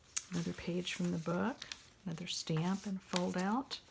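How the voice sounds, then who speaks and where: Fairly even intonation at a moderate pace in an American accent, over noticeable background noise. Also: woman. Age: 70s. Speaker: journal maker and retired nurse. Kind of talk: craft show-and-tell. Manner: halting.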